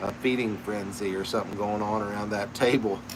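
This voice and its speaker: Over noticeable background noise and audible room echo, a man with a fairly low voice speaks in a relaxed tone at a moderate pace with ordinary pitch variation. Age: 60s. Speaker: pipe maker and channel host. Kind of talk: casual chat. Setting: live stream. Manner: relaxed, conversational.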